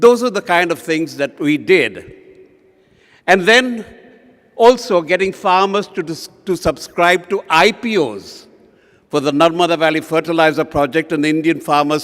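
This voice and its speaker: A man's high-pitched voice at a moderate pace, with lively intonation. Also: very clean recording, silent background. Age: 70s. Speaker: advertising and public relations veteran. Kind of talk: keynote address.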